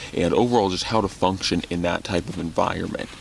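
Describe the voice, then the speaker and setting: A man speaks with a very deep, low pitch. The sound is dry with no echo, with light background noise. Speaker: bushcraft vlogger. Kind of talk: casual vlog chat. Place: tent. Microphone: phone near.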